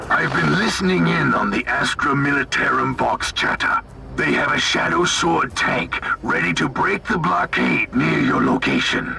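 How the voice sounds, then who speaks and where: A man uses a put-on character voice over loud background noise. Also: moderate pace. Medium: short film. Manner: fervent, devoted.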